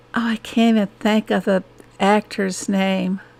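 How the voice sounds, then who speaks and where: A woman at medium pitch with an American accent and a very slow pace. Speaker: gaming streamer. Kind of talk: casual chat. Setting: live stream.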